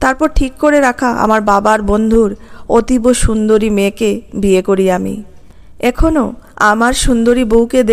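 Reading aloud happens here in a natural voice.

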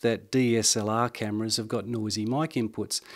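The background is quiet. The speaker is a man. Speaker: gear reviewer. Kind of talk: tutorial. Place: studio. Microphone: handheld.

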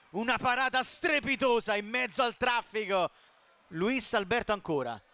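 A man uses a raised, projected voice at a high pitch and a fairly slow pace, with a dry, close sound with no echo. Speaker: football commentator. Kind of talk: live football commentary. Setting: stadium, broadcast commentary. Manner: excitable, rising to shouts on goals.

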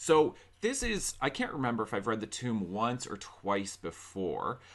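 Lively intonation marks a man's fairly slow delivery. The background is quiet. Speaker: book vlogger. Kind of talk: book discussion vlog. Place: home room. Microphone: studio mic.

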